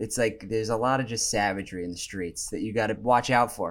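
On a very clean recording with a silent background, a man speaks with an American accent. His pitch variation is ordinary and his pace fairly quick. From New York City. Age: 20s. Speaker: YouTuber. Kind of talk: casual chat.

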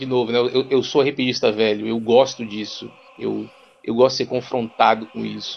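Speaking fairly slowly, a man with a medium pitch keeps a monotone, flat intonation. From Rondônia, Brazil. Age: 30s. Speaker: psychologist and university lecturer. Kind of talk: casual chat.

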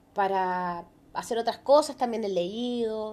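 Against a quiet background, a woman with a Chilean accent speaks at a fairly high pitch with ordinary pitch variation. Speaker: podcast co-host. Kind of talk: casual chat.

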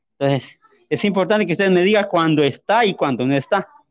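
A man's ordinary pitch variation comes through as he talks fairly quickly. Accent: Honduran. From Honduras, rural Ocotepeque. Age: 30s. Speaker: blind musician. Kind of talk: testimony. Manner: halting, hesitant.

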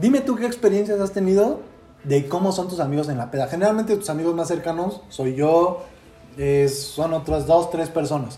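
Against noticeable background noise and audible room echo, a man with a high pitch talks at a moderate pace with lively intonation. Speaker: podcast host, university student. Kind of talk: casual chat.

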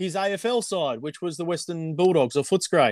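On a very clean recording with a silent background and a dry, close sound with no echo, a man with an Australian accent speaks at a high pitch and moderate pace with ordinary pitch variation. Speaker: former amateur cricketer. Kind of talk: casual chat.

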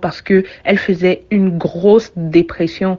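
Her intonation monotone and flat, a woman at medium pitch talks at a fairly slow pace. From Cameroon. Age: 30s. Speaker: communications consultant, former journalist. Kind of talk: personal testimony.

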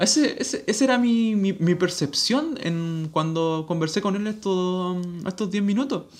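The speech moves at a fairly slow pace with hardly any pauses. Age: 20s. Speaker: podcast host. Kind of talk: solo monologue. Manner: halting.

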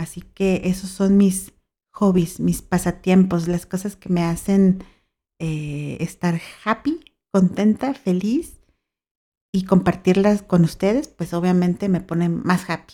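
A woman speaks very slowly with a Mexican accent. Her dark, mellow voice is at medium pitch with fairly even intonation. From Mexico, Baja California (Mexicali). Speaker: podcast host. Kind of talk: solo podcast monologue. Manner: cheerful, laughing.

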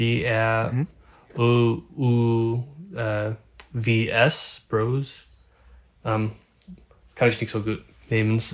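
Speaking with an English accent, a man of medium pitch talks at a very slow pace with fairly even intonation and long, frequent pauses. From Northern California. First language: English (speaking German). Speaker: photographer. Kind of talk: casual interview. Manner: halting, many fillers.

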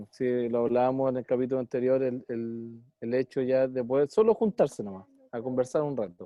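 Someone with a Chilean accent talks at a fairly quick pace, with hardly any pauses. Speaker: podcast co-host, musician. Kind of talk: casual interview.

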